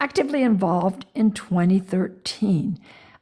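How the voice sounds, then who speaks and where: A woman speaks with an American accent. Her voice is somewhat breathy, with ordinary pitch variation. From US South. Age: 70s. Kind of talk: interview.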